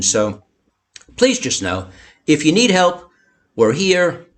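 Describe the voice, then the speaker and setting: A man speaking at a moderate pace. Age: 60s. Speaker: bankruptcy attorney and show host. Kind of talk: live-streamed interview. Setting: Facebook Live stream. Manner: halting, repeats words.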